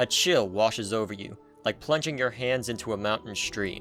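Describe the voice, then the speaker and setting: A man with lively intonation at a moderate pace, music playing in the background. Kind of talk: dramatic narration, second person. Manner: dramatic, expressive.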